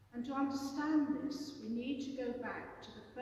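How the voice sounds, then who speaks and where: A high-pitched female voice in strong room echo, with light background noise. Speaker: preacher. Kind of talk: sermon. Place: church. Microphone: camera far.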